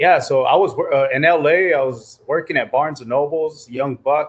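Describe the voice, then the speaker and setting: A man with a Spanish accent talks fairly quickly. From New Mexico, US. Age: 40s. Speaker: church communications director, former music industry intern. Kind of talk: casual interview chat. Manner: casual, animated.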